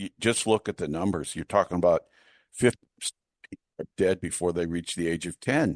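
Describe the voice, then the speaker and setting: A normal speaking voice moves at a moderate pace with ordinary pitch variation over a quiet background. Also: man, dry, close sound with no echo. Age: 60s. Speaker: historian and author. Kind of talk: interview.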